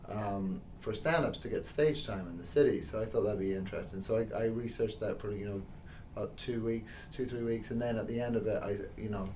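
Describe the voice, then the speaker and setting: A man's dark, mellow, somewhat breathy voice at a fairly quick pace, with audible room echo. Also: medium pitch for a man, ordinary pitch variation. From England and Northern Ireland. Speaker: stand-up comedian. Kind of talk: interview. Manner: hesitant, many fillers.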